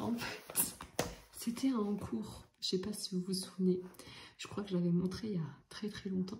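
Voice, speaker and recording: Soft-spoken and somewhat breathy, a woman talks at a medium pitch and a fairly slow pace with a dark, mellow tone. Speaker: vlogger. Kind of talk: casual vlog. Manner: hesitant, many fillers.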